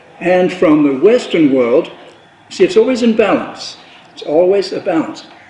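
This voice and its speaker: A high-pitched man at a moderate pace, with very wide pitch swings, big swings in loudness and noticeable background noise. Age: 70s. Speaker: spiritual author and presenter. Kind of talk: panel discussion. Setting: cultural center with audience.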